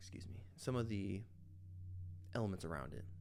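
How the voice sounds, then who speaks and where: Music plays in the background. A man speaks in a very deep, low voice. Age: 20s. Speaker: artist. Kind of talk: casual commentary while drawing. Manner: relaxed, informal.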